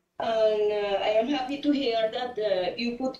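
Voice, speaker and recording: A Spanish accent with audible room echo. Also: woman. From Colombia. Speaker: cancer phytomedicine researcher. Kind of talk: audience Q&A question. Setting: online call. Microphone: video call.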